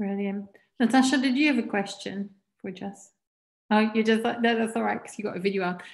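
A somewhat breathy woman's voice shows big swings in loudness against a quiet background. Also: fairly even intonation, fairly quick pace. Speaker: seminar organizer. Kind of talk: moderating Q&A. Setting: video call. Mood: warm, appreciative. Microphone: video call.

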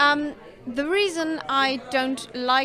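With crowd noise in the background, a woman talks using ordinary pitch variation. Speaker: interviewee. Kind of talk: interview answer. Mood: calm, earnest. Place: cafe. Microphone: handheld.

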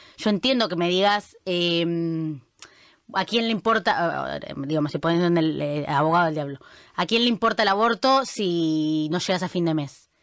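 Moderate speed and normal pitch movement from a woman whose voice sits fairly low. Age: 20s. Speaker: international news columnist. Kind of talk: casual interview chat. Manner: halting, many fillers.

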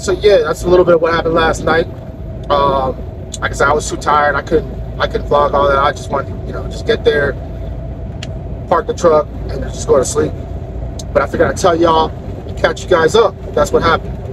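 A man at a fairly quick pace, dry sound with no echo, and noticeable background noise behind him. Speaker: truck driver vlogger. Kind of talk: casual vlog chat. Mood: mildly annoyed, relaxed. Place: car. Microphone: phone near.

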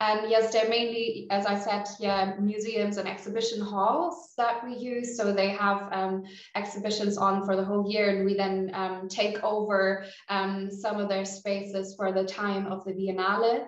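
Audible room echo surrounds a woman speaking at a moderate pace. She barely pauses, and her intonation stays fairly even. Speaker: exhibition coordinator. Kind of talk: panel discussion. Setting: video call. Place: office. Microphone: webcam.

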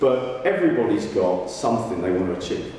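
A man speaks with strong room echo and light background noise. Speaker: motivational speaker. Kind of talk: speech. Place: hall.

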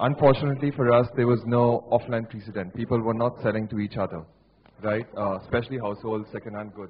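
Very fast in pace, a man speaks with fairly even intonation. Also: medium pitch for a man. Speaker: marketing executive. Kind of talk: panel discussion. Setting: stage with audience.

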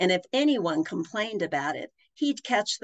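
Plain reading aloud comes with lively intonation against a quiet background.

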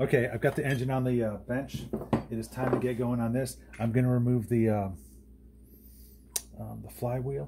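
A man talks at a moderate pace with fairly even intonation over noticeable background noise. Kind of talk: tutorial. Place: workshop. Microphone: phone near.

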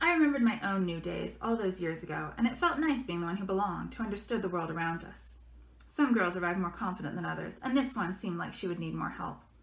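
Lively intonation marks a woman talking at a very fast pace, with audible room echo. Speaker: author. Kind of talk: fiction reading by the author. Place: home room. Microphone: webcam.

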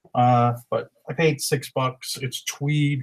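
A man's somewhat breathy voice comes through over a quiet background. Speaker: reseller showing haul. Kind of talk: casual vlog chat. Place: home room. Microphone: webcam.

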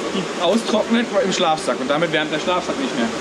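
A man talks fairly quickly while loud background noise carries on around him. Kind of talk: casual vlog chat. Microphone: phone near.

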